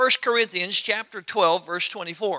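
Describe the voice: A man speaks at a high pitch with a bright, sharp tone and ordinary pitch variation.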